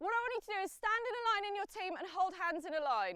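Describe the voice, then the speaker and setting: Loud speech moves at a fairly quick pace with lively intonation. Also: woman. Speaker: parkour coach. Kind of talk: instruction. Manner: encouraging.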